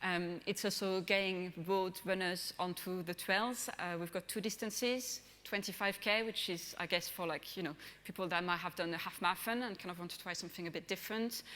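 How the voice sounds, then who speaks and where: In a French accent, a woman speaks at a fairly quick pace with a bright, sharp tone, medium pitch and fairly even intonation. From France. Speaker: brand manager. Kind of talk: conference presentation. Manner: hesitant, many fillers.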